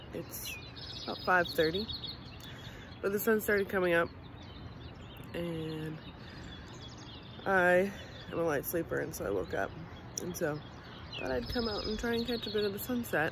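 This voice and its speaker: A woman speaks at a moderate pace with a fairly low pitch, long and frequent pauses, a dry sound with no echo, and noticeable background noise. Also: ordinary pitch variation. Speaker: family vlogger. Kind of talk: casual vlog chat. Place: open country. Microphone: phone near.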